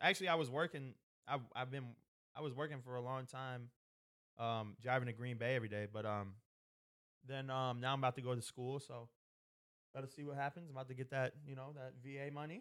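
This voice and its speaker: Speaking very fast with long, frequent pauses, a man at medium pitch keeps a fairly even intonation while his loudness swings widely. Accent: American. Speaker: podcast co-host. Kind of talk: casual chat.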